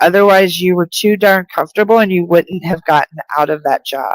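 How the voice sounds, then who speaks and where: A woman's ordinary speaking voice with an American accent, medium pitch and ordinary pitch variation, in a dry, close sound with no echo. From US (New Mexico and Virginia). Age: 50s. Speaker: spiritual medium. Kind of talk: live stream reading. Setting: live broadcast on video.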